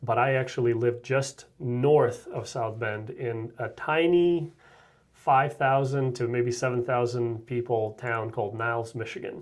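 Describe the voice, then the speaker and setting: A man's somewhat breathy, medium-pitched voice in a Russian accent, fairly slow in pace, with fairly even intonation. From Russia (former Soviet Union). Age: 30s. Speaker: real estate agent. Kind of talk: interview.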